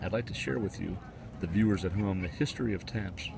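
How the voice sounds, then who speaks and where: Soft-spoken, a man talks at a moderate pace with fairly even intonation. Audible room echo surrounds his voice. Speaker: livestream host. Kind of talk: live outdoor commentary. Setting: outdoors at memorial.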